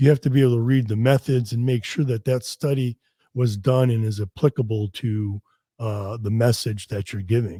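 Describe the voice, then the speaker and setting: In a very clean recording with a silent background and a dry, close sound with no echo, a speaker with an American accent talks at a moderate pace in a dark, mellow, somewhat breathy tone with ordinary pitch variation. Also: man. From US Northeast, Connecticut. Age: 50s. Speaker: fitness expert and research scientist. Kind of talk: podcast interview. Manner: casual, many restarts and fillers.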